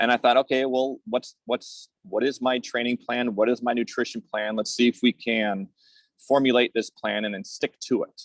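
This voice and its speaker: The sound is dry and close, with no echo. A man talks in a normal speaking voice. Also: medium pitch for a man, fairly even intonation, moderate pace. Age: 40s. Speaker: masters swimmer and swim coach. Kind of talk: casual interview.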